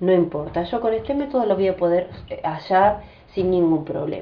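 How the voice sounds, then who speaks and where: A woman talks at a medium pitch. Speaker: math teacher. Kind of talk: tutorial. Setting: family home. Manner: fast.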